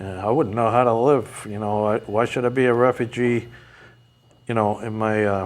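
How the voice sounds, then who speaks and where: A man in a New England accent, medium in pitch, monotone and flat in intonation, at a moderate pace. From New England, outside Vermont. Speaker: mental health advocate. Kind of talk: interview. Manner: halting, many fillers.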